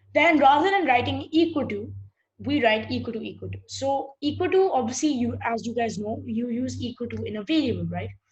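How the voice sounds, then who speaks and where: A woman at a fairly quick pace, with big swings in loudness and audible room echo. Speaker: programming teacher. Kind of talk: lecture. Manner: halting; fast.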